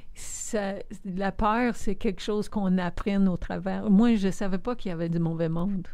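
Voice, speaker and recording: Through audible room echo, a woman of medium pitch speaks at a moderate pace in a dark, mellow tone with fairly even intonation. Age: 60s. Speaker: community leader and philanthropist. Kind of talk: interview conversation.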